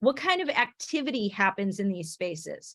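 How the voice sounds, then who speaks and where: A woman speaks with a Michigan accent. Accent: non-Oklahoman (Michigan). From Michigan, US Midwest. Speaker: education professor. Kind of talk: online teacher workshop presentation. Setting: video call. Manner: halting, many restarts and fillers.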